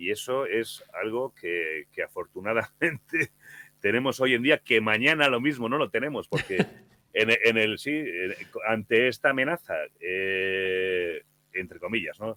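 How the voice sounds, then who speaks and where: Using a normal speaking voice, a man talks at a medium pitch and a fairly slow pace with lively intonation. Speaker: horror podcast narrator. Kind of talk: interview answer.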